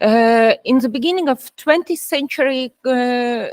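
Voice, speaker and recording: High in pitch for a woman, her voice moves at a very slow pace with ordinary pitch variation and a dry, close sound with no echo. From Estonia. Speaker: professor. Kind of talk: lecture. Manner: halting, many fillers.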